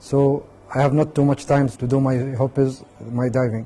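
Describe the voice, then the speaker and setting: In an Emirati accent, a man speaks at a fairly slow pace. His tone is dark and mellow. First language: Arabic. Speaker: scuba diving instructor. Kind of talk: personal story. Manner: halting.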